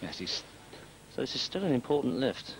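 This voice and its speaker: Male speech with ordinary pitch variation, clearly audible noise behind it. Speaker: expert co-commentator, weightlifting analyst. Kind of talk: live sports commentary, expert analysis. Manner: animated, opinionated, technical; conversational, excited at big lifts.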